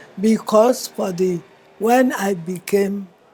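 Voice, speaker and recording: A woman's medium-pitched voice, with ordinary pitch variation, is heard over noticeable background noise. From Nigeria, Calabar. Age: 80s+. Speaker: elder interviewee. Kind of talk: interview.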